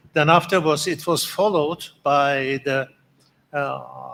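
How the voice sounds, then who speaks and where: A man with a fairly high voice speaks at a very slow pace with ordinary pitch variation. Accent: Turkish. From Turkey. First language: Turkish. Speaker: conference organizer. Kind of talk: conference speech. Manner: halting.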